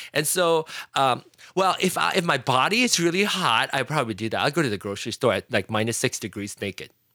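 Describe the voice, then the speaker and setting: A man at medium pitch in a Fujianese accent, very fast pace, very wide pitch swings, and a bright, sharp tone, with a dry, close sound with no echo in a very clean recording with a silent background. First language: Hokkien. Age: 40s. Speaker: podcaster and tech enthusiast. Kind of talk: casual chat.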